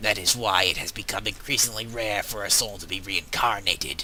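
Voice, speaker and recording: Over clear background noise, a man adopts a put-on character voice with a fairly low pitch at a fairly quick pace. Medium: game stream. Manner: wry, mildly condescending.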